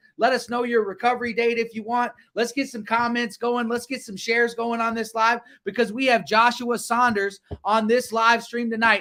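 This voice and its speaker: A man's raised, projected voice with an American accent, extremely high in pitch, bright and sharp in tone, at a moderate pace. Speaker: livestream show host. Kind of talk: livestream talk show.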